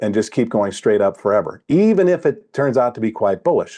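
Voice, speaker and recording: Against a quiet background, a man with a dark, mellow tone talks at a fairly quick pace with very wide pitch swings. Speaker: trading education coach. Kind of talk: tutorial.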